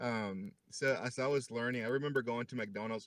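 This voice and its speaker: A man speaks at a fairly slow pace, the sound dry and close with no echo. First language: not English. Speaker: fitness group member sharing his story. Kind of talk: casual chat. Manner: hesitant, many fillers.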